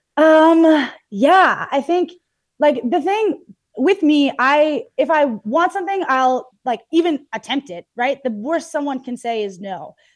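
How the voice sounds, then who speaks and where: In a Canadian accent, the speaker talks at a fairly slow pace with lively intonation. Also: woman, high pitch for a woman. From Canadian prairies, Red Deer, Alberta. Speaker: softball and baseball player. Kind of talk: interview. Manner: animated.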